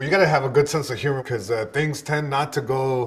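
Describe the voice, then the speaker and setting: A man speaks at a fairly high pitch. His voice is somewhat breathy and his pace fairly quick. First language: Spanish. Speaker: stand-up comedian and caregiver. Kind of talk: interview testimony.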